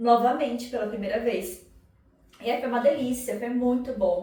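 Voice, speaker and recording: Noticeable background noise and audible room echo surround the recording. A woman talks at a moderate pace in a fairly high pitch with an animated tone. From Brazil, São Paulo. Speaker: psychoanalyst and vlogger. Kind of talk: casual vlog monologue. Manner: animated, conversational.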